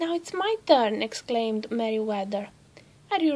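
The recording consists of plain reading aloud.

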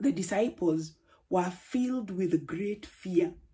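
A woman speaks at a very slow pace in a dark, mellow tone. Her voice is somewhat breathy, with lively intonation. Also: quiet background. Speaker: preacher. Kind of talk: sermon. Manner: formal. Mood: warm, encouraging. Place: home room. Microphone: phone near.

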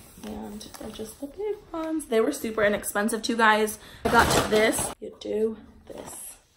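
With noticeable background noise, a woman speaks at a moderate pace in a fairly high voice with ordinary pitch variation. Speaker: vlogger. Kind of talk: casual vlog haul. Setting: at home, kids in background. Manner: casual, filler words.

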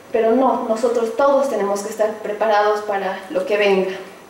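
A woman speaks at a fairly high pitch with fairly even intonation. Audible room echo and light background noise surround her voice. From Bolivia, Oruro; Bolivia. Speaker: activist and community radio host; community radio host. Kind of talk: speech. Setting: luncheon event with audience. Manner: halting. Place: hall.

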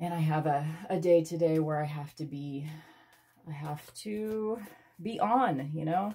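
In a dark, mellow tone, a woman with a fairly low pitch speaks with lively intonation. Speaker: tarot reader. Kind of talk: casual tarot reading chat. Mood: reflective, a bit unsure.

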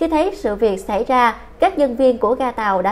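A woman's fairly high voice at a moderate pace, with very wide pitch swings. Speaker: news presenter. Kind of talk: news reading.

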